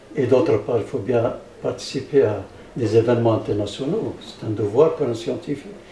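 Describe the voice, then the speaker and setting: Noticeable background noise and audible room echo around a man's voice of ordinary pitch variation. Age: 70s. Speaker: physicist researcher. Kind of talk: interview. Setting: public science event. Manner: halting, many repetitions.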